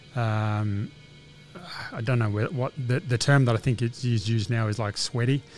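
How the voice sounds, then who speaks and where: In an Australian accent, a man of medium pitch talks at a moderate pace with fairly even intonation over noticeable background noise. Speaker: laundromat business owner. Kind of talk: interview. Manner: hesitant, many fillers.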